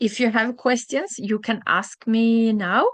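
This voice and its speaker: The sound is dry and close with no echo as a woman speaks at a very slow pace over a quiet background. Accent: Norwegian. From southern Norway, Kristiansand. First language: Norwegian. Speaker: language teacher. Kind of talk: online language class. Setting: live video class. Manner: halting, many fillers.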